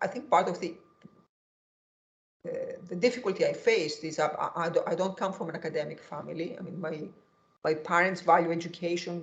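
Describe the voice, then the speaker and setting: Somewhat breathy speech in a Greek accent, with fairly even intonation at a very fast pace. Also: woman. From Greece. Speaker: economics professor. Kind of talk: interview. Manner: halting.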